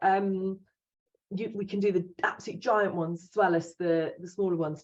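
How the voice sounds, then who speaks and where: In an English accent, a woman speaks at a medium pitch with fairly even intonation. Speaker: promotional products supplier. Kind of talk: business presentation. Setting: video call. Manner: fast.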